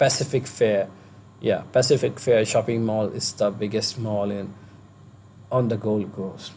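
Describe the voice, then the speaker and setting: A man speaks in a monotone with flat intonation, his pitch fairly low and his tone dark and mellow. Long pauses come often. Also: fairly slow pace. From India. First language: not English. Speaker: vlogger, international student. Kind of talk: vlog tutorial. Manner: halting, many fillers.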